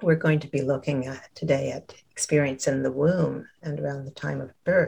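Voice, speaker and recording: At a moderate pace, a woman speaks with hardly any pauses and big swings in loudness. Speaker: therapist and guide. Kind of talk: guided meditation. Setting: video call. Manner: soft-spoken, soothing.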